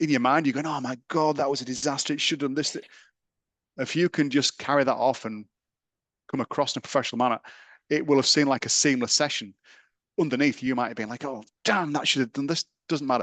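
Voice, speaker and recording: Talking very fast with a British accent, a man with fairly high pitch and ordinary pitch variation leaves long, frequent pauses, recorded dry and close with no echo over a quiet background. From England. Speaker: sports science lecturer. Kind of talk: interview.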